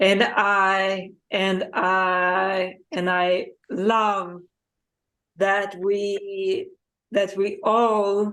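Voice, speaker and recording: A woman with a non-native accent speaks at a medium pitch. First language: not English. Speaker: video series host. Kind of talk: casual chat. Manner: halting, many repetitions.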